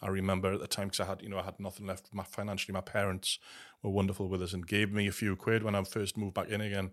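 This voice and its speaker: A man's fairly low voice in a very clean recording with a silent background. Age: 50s. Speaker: gambling recovery trainer. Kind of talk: casual chat.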